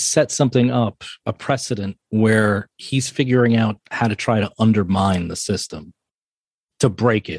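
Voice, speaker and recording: A man with an American accent speaks at a fairly slow pace in an ordinary speaking voice, medium in pitch with ordinary pitch variation. The background is quiet, and the sound is dry and close with no echo. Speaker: podcast host. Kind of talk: interview conversation.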